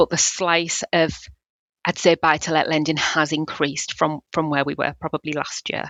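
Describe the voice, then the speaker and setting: In a North East England accent, a woman with a very deep, low pitch speaks at a moderate pace in a monotone, flat intonation. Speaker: building society business development manager. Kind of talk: interview. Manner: hesitant, many fillers.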